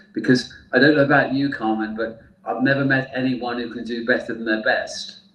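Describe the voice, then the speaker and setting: A man with a British accent speaks fairly quickly at a medium pitch, with monotone, flat intonation. Noticeable background noise and audible room echo are present. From UK. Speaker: therapist. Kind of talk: interview.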